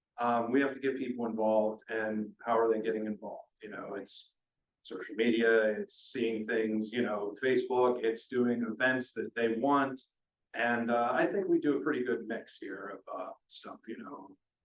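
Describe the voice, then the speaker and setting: A man with an unremarkable speaking voice talks at a moderate pace and medium pitch. His intonation is fairly even, but his loudness swings widely. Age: 30s. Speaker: council applicant. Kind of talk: interview answer at public meeting.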